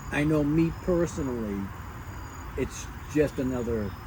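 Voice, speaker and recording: A man's medium-pitched voice with an American accent and lively intonation, over noticeable background noise. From Boston. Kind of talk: podcast interview, casual storytelling. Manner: storytelling cadence, profane.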